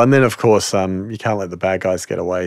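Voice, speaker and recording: Here a man speaks in an unremarkable speaking voice. His pitch is fairly low and his intonation fairly even. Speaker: podcast host. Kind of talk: casual chat.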